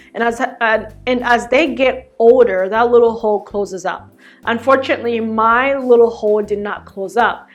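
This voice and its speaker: A woman with a Zambian accent speaks at a moderate pace. Her fairly high pitch carries fairly even intonation. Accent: Zambian accent kept despite US upbringing. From Zambia, then Michigan from age nine. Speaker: lifestyle and fashion vlogger. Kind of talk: casual personal get-to-know-me vlog.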